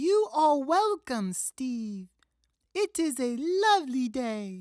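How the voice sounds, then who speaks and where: A high-pitched put-on character voice speaks at a very slow pace with very wide pitch swings. The recording is very clean, with a silent background. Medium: read story. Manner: formal, scripted politeness.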